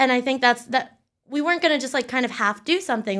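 In a very clean recording with a silent background, a woman with an American accent talks at a very fast pace in a high pitch with ordinary pitch variation. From Pennsylvania, York County. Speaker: digital strategist. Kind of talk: interview.

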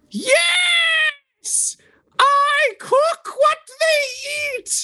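A woman's shouting, shrill put-on character voice, extremely high in pitch with very wide pitch swings. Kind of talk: Monty Python old-lady falsetto. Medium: actual play. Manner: shrill, imperious.

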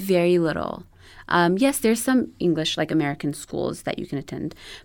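On a very clean recording with a silent background, a woman with an Ethiopian accent speaks at a fairly low pitch. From Ethiopia, Addis Ababa. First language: Amharic. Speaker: animation studio assistant and new mother. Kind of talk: interview.

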